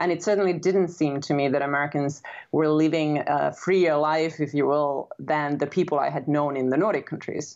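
A woman with a Finnish accent speaks in a very deep, low pitch at a moderate pace, with fairly even intonation and very even loudness. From Finland. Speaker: author. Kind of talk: interview.

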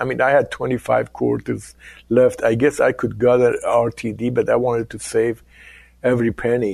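A man with a Persian accent, medium pitch and a fairly slow pace. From Iran. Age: 60s. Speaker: business executive. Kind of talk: interview.

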